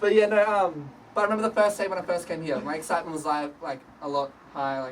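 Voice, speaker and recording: This man speaks with an Australian accent. His pace is very fast. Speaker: sales team member giving promotion speech. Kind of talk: informal speech to colleagues. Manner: casual, filler-heavy.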